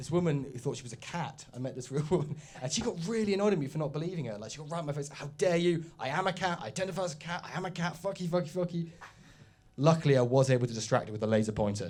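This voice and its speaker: A man's very fast speech at a fairly high pitch, somewhat breathy, with lively intonation. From Oxford, England. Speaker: stand-up comedian. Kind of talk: stand-up. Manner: halting, many fillers.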